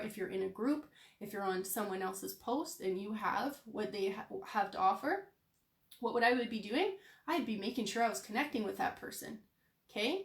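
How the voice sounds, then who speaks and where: Fairly high and somewhat breathy, a woman's voice moves at a fairly quick pace with ordinary pitch variation. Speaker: online business coach. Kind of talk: live stream business coaching. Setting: live video stream. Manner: animated.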